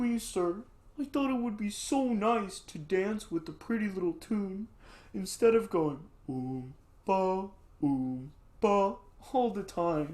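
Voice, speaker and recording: A woman puts on a character voice at a medium pitch, swinging very widely up and down in pitch. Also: fairly slow pace. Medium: read story. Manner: polite, timid.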